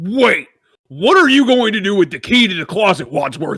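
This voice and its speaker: A high-pitched man puts on a character voice, delivering his lines at a moderate pace. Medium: game stream. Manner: anxious.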